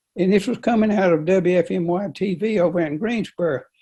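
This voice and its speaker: In a North Carolina accent, a man speaks with a high pitch and a dark, mellow tone. His pitch varies in an ordinary way. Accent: Southern US (North Carolina). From US South, Rockingham County, North Carolina. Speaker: local resident interviewee. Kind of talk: interview, personal reminiscence. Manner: halting, repeats words.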